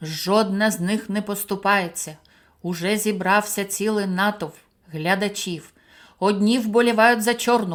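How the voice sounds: What you hear is a natural reading voice.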